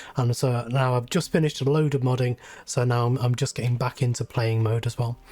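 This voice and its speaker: A man with a British accent, somewhat breathy and dark, mellow in tone, at a fairly quick pace with fairly even intonation and very even loudness. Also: medium pitch for a man. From UK. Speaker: YouTuber and game modder. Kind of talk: casual chat.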